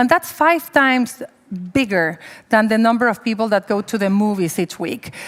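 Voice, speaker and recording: With a strong Mexican accent, a woman speaks at a moderate pace in a fairly high pitch, her tone animated and her intonation lively. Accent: heavy Mexican Spanish. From Mexico. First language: Spanish. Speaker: humanitarian worker. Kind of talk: panel discussion.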